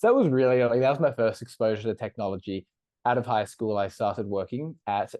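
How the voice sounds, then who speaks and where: A man with an Australian accent, medium pitch, ordinary pitch variation and a very fast pace. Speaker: startup co-founder. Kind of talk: podcast interview.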